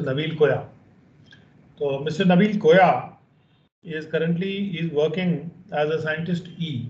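Fairly slow, fairly high-pitched speech from a man, with fairly even intonation and audible room echo. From India. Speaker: training program moderator. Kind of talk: formal introductions and moderation. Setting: video call webinar. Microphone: video call.

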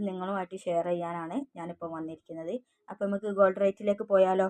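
Heard in a dry, close recording with no echo, a woman speaks at a medium pitch. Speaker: gold price YouTuber. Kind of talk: solo vlog update on gold rates.

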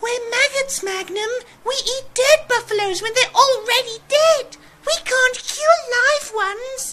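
The voice is a cartoonish character act. It sits at an extremely high pitch. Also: fairly slow pace.

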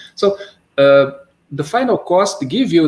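A man speaks with a Portuguese accent in a somewhat breathy voice. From Brazil. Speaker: seminar host. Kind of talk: academic Q&A and introduction. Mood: polite, formal. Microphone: video call.

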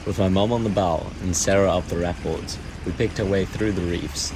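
Loud noise sits behind a man who talks at a moderate pace. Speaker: sailing vlogger narrator. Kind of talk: narrated travel voice-over.

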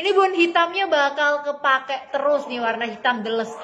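A woman speaks at a fairly quick pace in a high pitch, her voice raised and projected. Her intonation is lively, with light background noise behind her. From Indonesia. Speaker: online clothing seller; online shop seller. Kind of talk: live-stream sales pitch rattling off product codes, sizes and prices to viewers. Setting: live stream. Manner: chummy and gushing, constantly calling viewers dear and mom. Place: shop.

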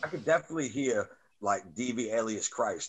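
A man with a New York accent at a moderate pace. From Staten Island, New York. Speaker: podcast host and rapper; podcast host. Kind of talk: casual interview. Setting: video call. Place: home room. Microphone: webcam.

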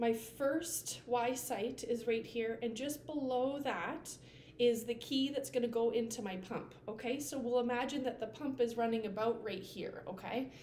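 A woman with a high voice speaks amid light background noise and audible room echo. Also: moderate pace. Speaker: nursing instructor. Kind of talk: tutorial. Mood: friendly, relaxed. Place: home room. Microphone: camera far.

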